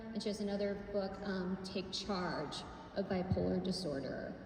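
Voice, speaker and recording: A woman speaks at a fairly slow pace amid noticeable background noise and audible room echo. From Pittsburgh area, Pennsylvania. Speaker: mental health speaker and YouTuber. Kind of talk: public speech with audience interaction. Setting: hall with audience at picnic tables. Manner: casual, conversational.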